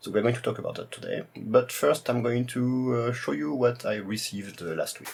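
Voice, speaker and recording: With noticeable background noise, a man in a strong French accent speaks at a medium pitch and a fairly quick pace, with ordinary pitch variation. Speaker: retro computer YouTuber. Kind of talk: tutorial presentation. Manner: hesitant, many fillers.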